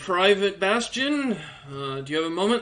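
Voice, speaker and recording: In a put-on character voice, a man sounds gruff and pitched high. He keeps a moderate pace. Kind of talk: polite military address.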